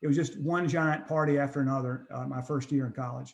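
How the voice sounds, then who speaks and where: Here a man speaks with an American accent. His pitch is fairly high, with ordinary pitch variation. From North Carolina, US South. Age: 60s. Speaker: addiction treatment center founder. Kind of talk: interview, personal testimony. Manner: hesitant, many fillers and restarts.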